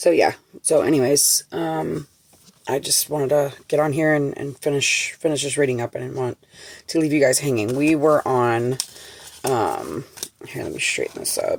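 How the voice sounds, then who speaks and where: A quiet woman's voice at a moderate pace. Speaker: tarot reader. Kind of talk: tarot reading. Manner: halting.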